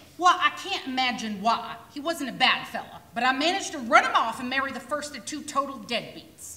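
In a put-on character voice that is high-pitched and gruff, a woman speaks fairly quickly with lively intonation and hardly any pauses, with a slight echo. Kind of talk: community theater stage acting. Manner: gruff, sarcastic, cantankerous.

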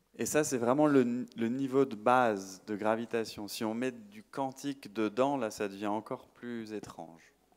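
This man keeps a moderate pace with hardly any pauses. His intonation is fairly even. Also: medium pitch for a man. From France, Paris. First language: French (speaking Italian). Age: 40s. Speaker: astrophysicist and science communicator; speaker. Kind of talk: public lecture. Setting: stage with audience. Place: hall. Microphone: handheld.

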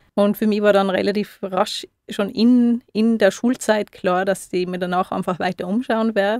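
At a moderate pace, a woman with an ordinary speaking voice, medium pitch and fairly even intonation is heard in a dry, close sound with no echo. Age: 30s. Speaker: osteopath. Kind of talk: radio interview. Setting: radio studio.

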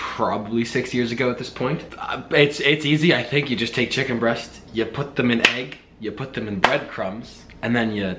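A man speaks at a moderate pace with ordinary pitch variation. Light background noise sits behind him. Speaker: college student vlogger. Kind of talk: casual vlog chat. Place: kitchen. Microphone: phone near.

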